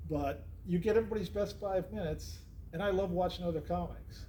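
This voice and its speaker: The speech comes very fast, with audible room echo. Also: man. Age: 60s. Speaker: podcast host and comedian. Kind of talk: casual chat. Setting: comedy club.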